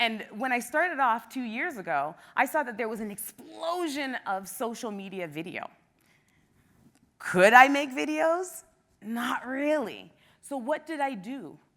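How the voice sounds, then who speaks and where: A woman with a Canadian accent and a high pitch speaks in an animated tone. Her pitch swings very widely, and her loudness swings a lot. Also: fairly slow pace. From Canada, Toronto. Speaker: travel blogger and former teacher. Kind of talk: conference talk. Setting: stage with audience. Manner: loud, outgoing.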